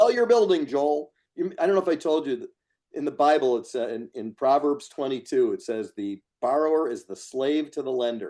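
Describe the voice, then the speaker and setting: Loudness swings in big jumps as this man talks. His pace is fairly quick. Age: 60s. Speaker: real estate investor. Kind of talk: interview.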